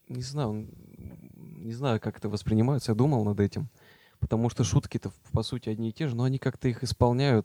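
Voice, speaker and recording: A man talks at a fairly quick pace in a dark, mellow, medium-pitched voice with ordinary pitch variation. The sound is dry and close, with no echo. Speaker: podcast co-host. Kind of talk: casual chat.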